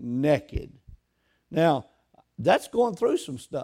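The recording is very clean, with a silent background. A man speaks in an animated tone with very wide pitch swings. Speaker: pastor. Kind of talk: sermon preached live to a congregation. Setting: church. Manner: animated, exhorting, call-and-response with the congregation; emphatic, repetitive, dwelling on points.

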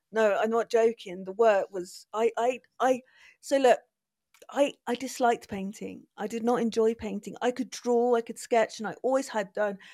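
A woman with a Bristol accent, fairly high in pitch with a dark, mellow tone, fairly even intonation and a moderate pace, on a very clean recording with a silent background and a dry, close sound with no echo. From England, Bristol. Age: 40s. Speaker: artist. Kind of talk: casual chat.

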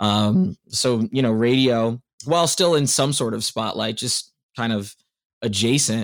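A man with an American accent and an ordinary speaking voice, at a moderate pace with ordinary pitch variation. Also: medium pitch for a man. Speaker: radio host. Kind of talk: casual interview.

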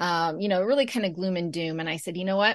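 Over a quiet background, a woman with an American accent has an unremarkable speaking voice, fairly low in pitch with ordinary pitch variation. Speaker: podcast host. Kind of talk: casual interview.

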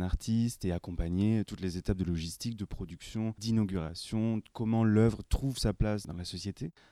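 On a very clean recording with a silent background, a man speaks at a fairly quick pace in a fairly low pitch with a dark, mellow tone and ordinary pitch variation, dry and close with no echo. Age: 30s. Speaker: exhibition curator. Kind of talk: interview.

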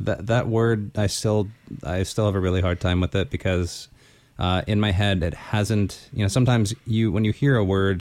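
Speaking at a fairly quick pace, a man talks with a Californian accent. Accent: American, Californian, little changed. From Los Angeles, US. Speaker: podcast co-host, musician. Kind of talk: casual chat between co-hosts.

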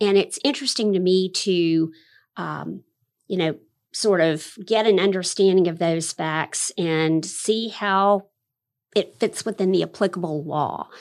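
A woman with an American accent speaks in an unremarkable speaking voice at a medium pitch, with ordinary pitch variation, on a very clean recording with a silent background. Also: fairly slow pace. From Florida, Fernandina Beach. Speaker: administrative law judge. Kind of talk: interview.

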